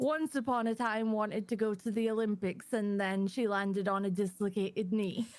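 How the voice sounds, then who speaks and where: In a Scottish accent, a woman talks at a moderate pace with hardly any pauses, her fairly high voice holding fairly even intonation and very even loudness. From Scotland. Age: 20s. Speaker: panel guest, community manager. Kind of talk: casual chat. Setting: live stream panel.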